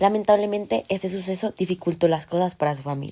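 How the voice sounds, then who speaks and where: The pitch rises and falls in an ordinary way, and the tone is dark and mellow. The pace is moderate. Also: woman. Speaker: podcast host. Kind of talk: scripted narration. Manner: formal.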